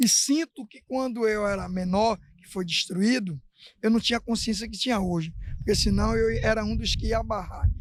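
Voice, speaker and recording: A man with a high pitch and ordinary pitch variation talks at a moderate pace, the sound dry and close with no echo. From Brazil, Bahia (Salvador). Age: 60s. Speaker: local resident. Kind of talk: interview.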